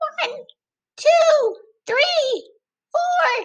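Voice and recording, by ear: A put-on character voice, extremely high and full of very wide pitch swings.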